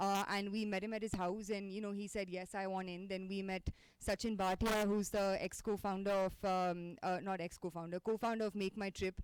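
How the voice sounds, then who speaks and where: A woman's medium-pitched voice with monotone, flat intonation and hardly any pauses. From India, Delhi. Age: 20s. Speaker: startup founder. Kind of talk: talk to an audience. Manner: fast.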